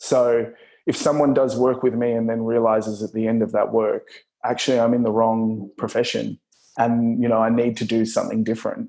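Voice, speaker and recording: A man's dark, mellow voice at medium pitch, fairly quick in pace, with monotone, flat intonation. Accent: Australian. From Australia. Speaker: performer turned workplace consultant. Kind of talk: interview conversation.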